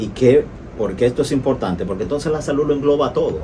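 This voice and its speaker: Noticeable background noise and audible room echo surround the speaker. He is a man with a medium-pitched voice. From Latin America. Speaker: doctor and radio host. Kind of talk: radio interview. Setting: radio studio, live broadcast.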